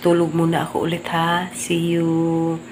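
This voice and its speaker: A woman speaks quietly amid noticeable background noise and audible room echo. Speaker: family vlogger. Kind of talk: casual vlog. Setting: at home, early morning. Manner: quiet, keeping voice low.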